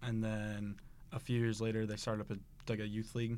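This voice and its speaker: With an American accent, a man of medium pitch speaks at a very fast pace in a monotone, flat intonation. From central Illinois. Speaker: college bowler. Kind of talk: interview. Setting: studio.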